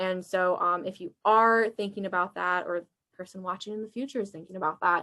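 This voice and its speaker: Bright and sharp in tone, a woman talks at a fairly quick pace with fairly even intonation. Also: medium pitch for a woman. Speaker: college alumni workshop presenter. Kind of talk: workshop presentation. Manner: fast.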